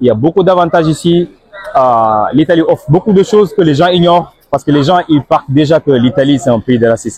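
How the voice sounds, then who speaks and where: This man has a fairly high voice and speaks at a moderate pace with ordinary pitch variation. It is an unremarkable speaking voice. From Senegal. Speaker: immigrant interviewee. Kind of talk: interview. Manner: casual.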